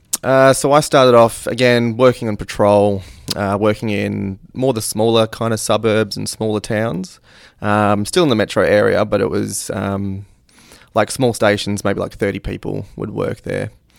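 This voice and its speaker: Here a man speaks in an Australian accent, pitched fairly low. His intonation is fairly even and his pace moderate. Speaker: police detective. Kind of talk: interview.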